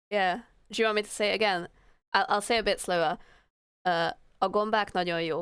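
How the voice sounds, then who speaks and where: The recording is very clean against a silent background, and a woman speaks at a medium pitch with fairly even intonation. Her loudness stays very even, broken by long, frequent pauses. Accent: Hungarian. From Hungary. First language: Hungarian. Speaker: streamer, illustrator. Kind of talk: casual live stream chat. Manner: halting.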